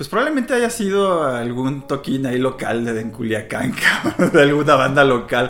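A man talks with lively intonation while noticeable background noise carries on around him. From Mexico, Culiacán (Sinaloa), also Mexico City and the US. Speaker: rock musician, bassist. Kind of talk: casual interview.

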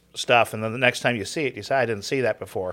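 A man with a normal speaking voice at medium pitch, in an American accent with fairly even intonation, on a very clean recording with a silent background. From Southern California. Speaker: seminary Greek professor. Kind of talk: casual chat.

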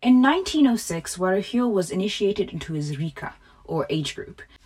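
Noticeable background noise accompanies a woman speaking at a medium pitch with very wide pitch swings. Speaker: podcast host. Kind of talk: scripted narration; casual chat. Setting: home closet studio.

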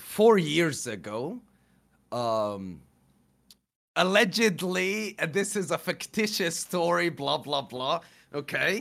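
A man with a high pitch speaks at a very slow pace, leaving long, frequent pauses. His pitch swings very widely, and the recording is very clean with a silent background. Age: 20s. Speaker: streamer. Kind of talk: casual chat. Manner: halting.

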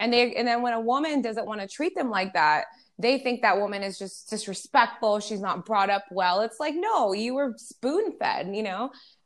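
A woman with an unremarkable speaking voice talks at a moderate pace with hardly any pauses, her fairly high pitch moving in lively intonation over a very clean recording with a silent background. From California, US (moved there at 12 from New York). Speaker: radio host and rapper. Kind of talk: casual interview.

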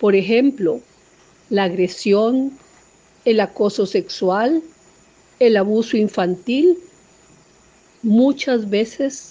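Her pitch is fairly high for a woman, with ordinary variation and a dark, mellow tone. She speaks at a very slow pace. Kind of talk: poetry reading, solemn and intimate, after a spoken introduction. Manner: measured, lyrical, slow and expressive.

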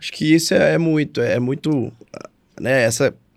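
This man's voice sits at a medium pitch with ordinary pitch variation. He keeps a moderate pace on a very clean recording with a silent background. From Brazil, Minas Gerais. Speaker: podcast co-host, business owner. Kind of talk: casual chat. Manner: animated.

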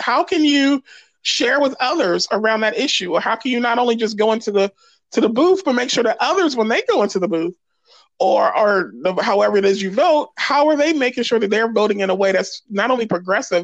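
A woman with an American accent talks at a fairly quick pace with lively intonation. Hers is an unremarkable speaking voice with a fairly high pitch. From US Northeast, Philadelphia. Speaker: pastor and justice activist. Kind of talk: casual interview.

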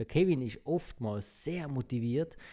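With a dark, mellow tone at a medium pitch, a man is heard on a very clean recording against a silent background. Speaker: podcast co-host. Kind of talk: casual chat.

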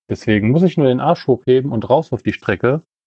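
Here is a man with a medium pitch. His pitch variation is ordinary. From Kempten, Bavaria. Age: 20s. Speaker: amateur runner. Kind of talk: recorded voice message. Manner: halting.

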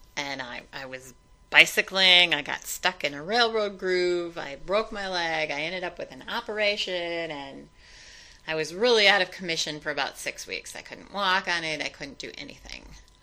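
A woman speaks at a moderate pace in a fairly low pitch with a bright, sharp tone. Her pitch varies in an ordinary way while her loudness swings widely. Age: 60s. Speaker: interviewee sharing personal story. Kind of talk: testimony. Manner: hesitant with fillers.

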